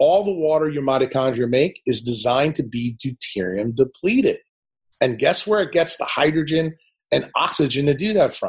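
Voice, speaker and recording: At a moderate pace, a man with a fairly high, somewhat breathy voice talks with lively intonation. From New Orleans, USA. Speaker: neurosurgeon. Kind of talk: interview answer. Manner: brash, confronting.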